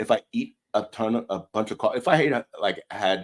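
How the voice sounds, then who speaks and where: A man speaks with a medium pitch. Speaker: podcast host. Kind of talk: casual chat. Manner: loud.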